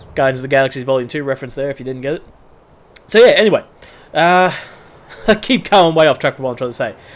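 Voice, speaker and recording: Speaking very fast yet with long, frequent pauses, a man with an Australian accent uses ordinary pitch variation. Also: fairly high pitch for a man. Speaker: gaming youtuber. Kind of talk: gameplay commentary. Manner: casual.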